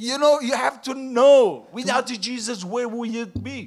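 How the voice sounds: A man speaks loudly at an extremely high pitch. His pace is fairly slow. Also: ordinary pitch variation.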